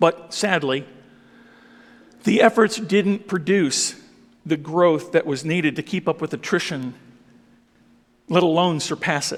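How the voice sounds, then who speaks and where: At a fairly slow pace, a man talks in a high pitch with ordinary pitch variation and long, frequent pauses. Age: 60s. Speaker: pastor. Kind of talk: speech.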